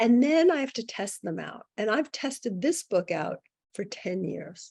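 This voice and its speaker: With very wide pitch swings, a woman speaks at a fairly high pitch and a fairly slow pace in an American accent. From New York. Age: 60s. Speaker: psychic and author. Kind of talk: podcast interview.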